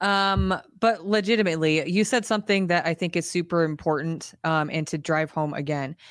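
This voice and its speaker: In a quiet background, a woman with a fairly low pitch and an ordinary speaking voice talks at a fairly quick pace with ordinary pitch variation. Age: 30s. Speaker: fitness podcast co-host. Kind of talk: casual chat.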